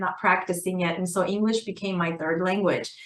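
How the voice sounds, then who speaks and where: Amid noticeable background noise, a woman with an Armenian accent talks at a fairly quick pace and medium pitch, her intonation fairly even. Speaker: assistant principal and author. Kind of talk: interview. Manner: conversational with fillers.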